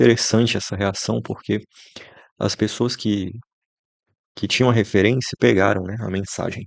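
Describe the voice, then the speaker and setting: A man with a fairly low pitch and ordinary pitch variation speaks with long, frequent pauses. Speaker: content creator. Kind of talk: casual monologue. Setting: bedroom. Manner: slow.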